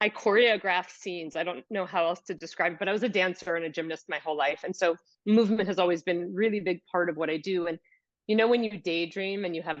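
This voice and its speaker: A woman with a New York accent, fairly low in pitch, at a fairly quick pace, with ordinary pitch variation. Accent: New York American. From US, New York City. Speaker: yoga teacher and movement specialist. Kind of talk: podcast interview.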